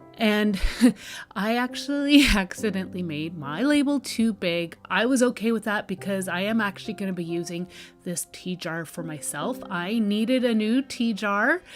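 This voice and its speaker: With music in the background, a woman speaks at a moderate pace in a medium pitch with lively intonation. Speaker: DIY craft content creator. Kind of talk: tutorial.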